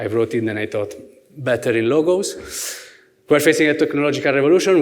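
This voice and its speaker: A man speaks with an Italian accent, and audible room echo surrounds his voice. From Italy. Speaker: merchandise planning manager, workshop speaker. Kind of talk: conference presentation. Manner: hesitant, many fillers and repetitions; gestures with hands, lively.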